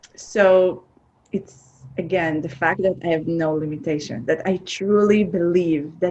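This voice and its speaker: A woman speaks with an Israeli accent and ordinary pitch variation. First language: Hebrew. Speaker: film producer. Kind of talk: interview. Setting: remote call.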